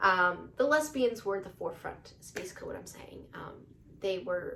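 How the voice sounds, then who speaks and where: A woman's voice with big swings in loudness and audible room echo. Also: moderate pace. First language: not English. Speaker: YouTuber. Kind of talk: casual commentary monologue. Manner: halting, many fillers; animated.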